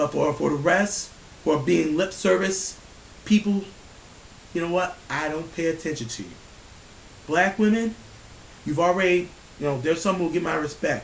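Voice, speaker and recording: A man speaks loudly at a high pitch, with ordinary pitch variation. His pace is moderate, broken by long, frequent pauses. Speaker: vlogger ranting on camera. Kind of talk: angry rant to camera. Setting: at home, family sleeping. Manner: animated, profane.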